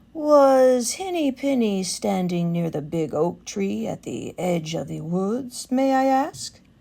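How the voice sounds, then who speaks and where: In a very clean recording with a silent background, a woman uses a put-on character voice at medium pitch, talking at a fairly slow pace with hardly any pauses. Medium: read story. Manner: smooth, sly, flattering.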